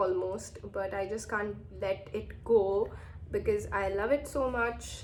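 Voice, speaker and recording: This woman talks at a very slow pace. Audible room echo surrounds her voice. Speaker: beauty vlogger. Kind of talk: makeup tutorial, casual. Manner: casual, hesitant with fillers.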